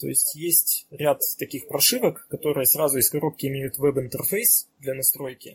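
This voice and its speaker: A man speaks at a moderate pace in an unremarkable speaking voice. His pitch is fairly high, with ordinary variation. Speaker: electronics engineer. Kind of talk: technical explanation.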